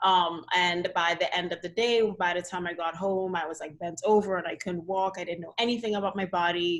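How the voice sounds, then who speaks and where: With a Trinidadian accent, a woman talks at a fairly quick pace and fairly low pitch, with fairly even intonation and hardly any pauses. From Trinidad and Tobago. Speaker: dance physical therapist. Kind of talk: casual interview chat. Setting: video call.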